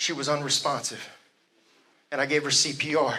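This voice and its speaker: A man's fairly high pitch comes through at a moderate pace. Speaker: motivational speaker. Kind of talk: live motivational speech. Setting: live event. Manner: energetic.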